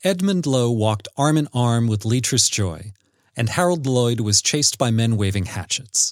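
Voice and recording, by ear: Natural-voiced reading aloud, lively in intonation, against a quiet background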